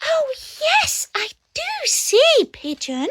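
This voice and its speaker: A woman's squeaky, put-on character voice, extremely high in pitch with very wide pitch swings, dry and close with no echo. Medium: read story. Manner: eager, wondering.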